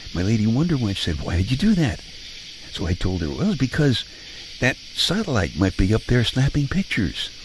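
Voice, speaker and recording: A somewhat breathy man with an American accent and very wide pitch swings. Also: medium pitch for a man, fairly quick pace. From Brooklyn, New York. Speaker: radio host. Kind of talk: bedtime monologue. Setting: home living room.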